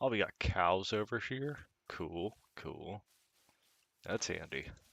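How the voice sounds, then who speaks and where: A man's fairly low-pitched voice, very slow and relaxed in tone, with vocal fry and lively intonation. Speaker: gaming video creator. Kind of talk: casual gameplay commentary. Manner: relaxed, conversational.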